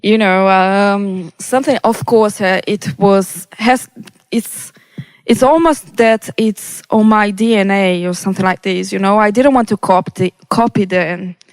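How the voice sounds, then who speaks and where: A woman with a Brazilian Portuguese accent, medium pitch and ordinary pitch variation, at a fairly slow pace, in a dry, close recording with no echo. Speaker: electronic music producer. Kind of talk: interview. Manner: halting, many fillers.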